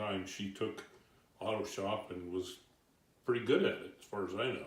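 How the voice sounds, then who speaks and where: A man with an American accent speaks at a moderate pace in a fairly low pitch. His intonation is fairly even and his voice somewhat breathy. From Santa Cruz, California. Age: 70s. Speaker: retired Navy worker. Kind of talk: interview answer.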